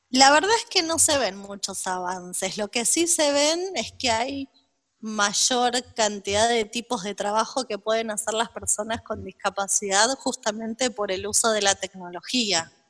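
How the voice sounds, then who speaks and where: Here a woman speaks at a fairly slow pace with a fairly high pitch. The sound is dry and close, with no echo. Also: ordinary pitch variation. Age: 40s. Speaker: psychologist. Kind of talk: interview.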